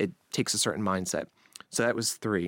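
A man's fairly low voice at a very fast pace, with ordinary pitch variation, in a very clean recording with a silent background and a dry, close sound with no echo. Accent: American. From Long Island, New York. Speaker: news podcast host. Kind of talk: interview chat. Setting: studio.

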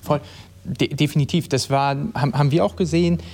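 The man has a normal speaking voice, fairly high in pitch. He goes at a moderate pace, and his intonation is lively. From East Westphalia, Germany. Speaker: managing director of a hi-fi company. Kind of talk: live panel talk. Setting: live event with audience.

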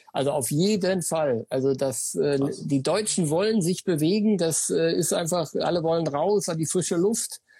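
A man with a high pitch and a dark, mellow tone talks at a fairly slow pace with very even loudness and hardly any pauses against a quiet background. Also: ordinary pitch variation. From Sauerland, Germany. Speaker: running shop owner. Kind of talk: casual interview. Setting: Instagram live video call.

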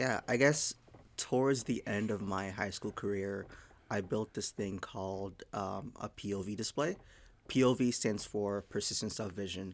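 An ordinary speaking voice belongs to a man with an American accent and fairly low pitch. He moves at a moderate pace with ordinary pitch variation. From Haiti, then Massachusetts from age 10. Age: 20s. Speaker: software engineer. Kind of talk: casual chat.

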